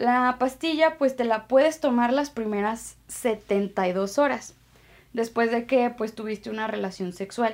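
Speaking with a Mexican accent, a woman uses a high pitch. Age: 20s. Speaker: paramedic and communication student podcaster. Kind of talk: casual informative monologue. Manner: relaxed, conversational.

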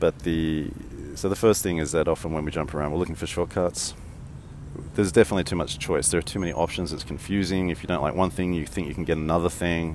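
This man talks at a very fast pace. His pitch is very deep and low. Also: fairly even intonation. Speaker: podcast host, strategy teacher. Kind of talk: solo walking monologue. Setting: outdoors in a park, walking. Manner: monotone; mumbles a bit.

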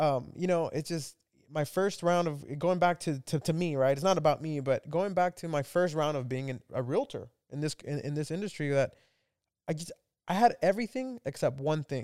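This very clean recording with a silent background features a man at a fairly high pitch. He keeps a moderate pace with ordinary pitch variation. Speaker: podcast host. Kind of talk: casual chat. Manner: halting.

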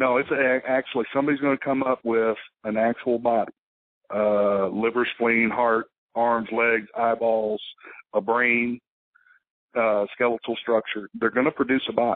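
A man with a Texan accent speaks at a medium pitch and moderate pace in a monotone, flat intonation. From South Texas. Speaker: law enforcement officer and army veteran. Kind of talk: casual interview storytelling.

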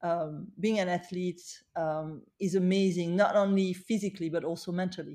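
A woman's dark, mellow voice, fairly low in pitch, with a French accent, fairly even intonation and a moderate pace, in a very clean recording with a silent background. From France, Paris. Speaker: beauty entrepreneur. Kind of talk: interview.

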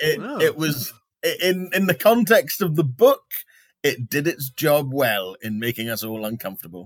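Very wide pitch swings run through a man's fairly high voice in a London accent, recorded dry and close with no echo. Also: moderate pace. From England, London. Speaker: podcast co-host. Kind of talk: casual comedic chat.

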